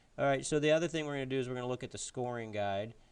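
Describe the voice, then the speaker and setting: A man's voice at medium pitch, with fairly even intonation. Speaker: teacher. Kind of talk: tutorial. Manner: fast.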